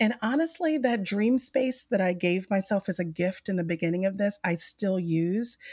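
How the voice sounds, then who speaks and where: A woman's somewhat breathy, medium-pitched voice with an Alabama accent, lively intonation and very even loudness, at a moderate pace with hardly any pauses, in a dry, close sound with no echo. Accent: Southern US (Alabama). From US South, Mobile, Alabama. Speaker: business consultant and coach. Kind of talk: casual interview.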